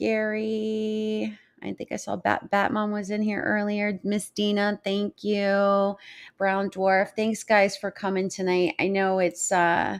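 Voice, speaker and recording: A woman speaks at a very slow pace with monotone, flat intonation. The recording is very clean, with a silent background. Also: medium pitch for a woman. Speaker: livestream host. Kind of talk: live stream chat with viewers. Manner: halting.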